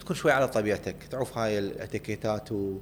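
A man with fairly low pitch and fairly even intonation has an unremarkable speaking voice. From Iraq (Baghdad, Samarra). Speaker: tech startup founder and CEO. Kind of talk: interview. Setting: studio.

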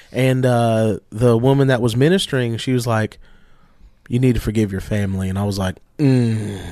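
In a plain, everyday voice, a man speaks at medium pitch with ordinary pitch variation. His pace is moderate. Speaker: pastor and podcast co-host. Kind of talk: casual religious discussion.

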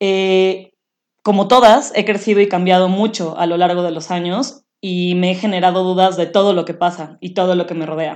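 Speaking at a moderate pace with a medium pitch and fairly even intonation, a woman talks in a plain, everyday voice. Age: 30s. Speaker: podcast co-host. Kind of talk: casual chat.

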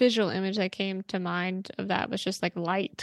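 A woman is recorded against a quiet background. The sound is dry and close, with no echo. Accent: American. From New Jersey. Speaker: non-profit executive director. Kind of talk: casual interview chat. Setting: video call.

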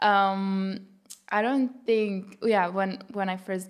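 A woman with a Lithuanian accent. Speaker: pop singer-songwriter. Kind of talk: casual interview.

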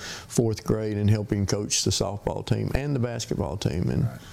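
At a moderate pace, a man with an East Tennessee accent speaks in a fairly low voice with ordinary pitch variation. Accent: US Southern (East Tennessee). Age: 60s. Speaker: hot rod shop owner. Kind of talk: casual interview. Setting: on location in a workshop. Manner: halting, with many repeated words.

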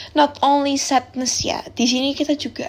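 Her voice is high-pitched for a woman. She speaks at a moderate pace. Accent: strong Javanese. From Central Java, Semarang. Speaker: university student podcaster. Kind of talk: casual solo podcast chat. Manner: relaxed, chatty.

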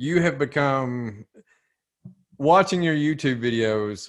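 A man speaks slowly at medium pitch. His intonation is lively.

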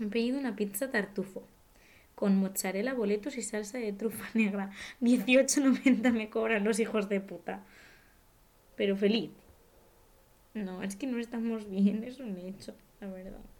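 With long, frequent pauses, a woman talks at a fairly slow pace and a fairly high pitch, with fairly even intonation and big swings in loudness. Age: 20s. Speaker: actress. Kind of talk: casual chat.

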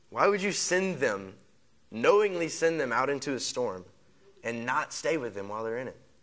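A man talks in a fairly high pitch with very wide pitch swings. Room echo is audible. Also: moderate pace. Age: young (18). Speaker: young preacher. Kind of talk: sermon. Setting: church stage with congregation.

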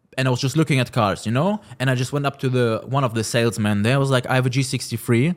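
This man talks at a very fast pace. His loudness stays very even throughout. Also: medium pitch for a man, ordinary pitch variation. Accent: German. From Germany, Cologne. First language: German. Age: 20s. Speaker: car rental business owner. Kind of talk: interview.

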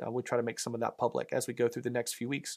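The speaker has a Southern US accent. The recording is very clean, with a silent background. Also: man. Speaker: pastor. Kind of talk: sermon. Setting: church. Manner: conversational, with fillers.

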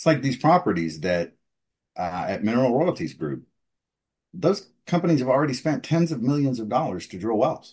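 With an American accent, a man talks at a medium pitch and a moderate pace. His voice has vocal fry and very wide pitch swings. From Texas. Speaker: oil and gas veteran. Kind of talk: interview.

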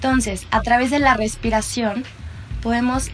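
A woman talks while background noise is clearly audible. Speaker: psychologist and mindfulness teacher. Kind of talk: interview and guided meditation. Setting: remote recording. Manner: soft-spoken.

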